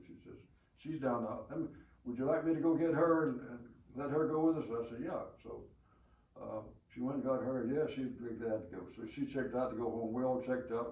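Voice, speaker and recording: A man speaks at a moderate pace with a medium pitch and ordinary pitch variation. His loudness swings widely, and there is noticeable background noise. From Alabama. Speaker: war veteran. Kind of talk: interview answer.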